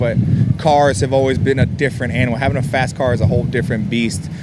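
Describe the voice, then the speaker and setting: A man with a medium-pitched voice at a very fast pace, over noticeable background noise. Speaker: car enthusiast. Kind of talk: interview answer. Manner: casual, hesitant with fillers.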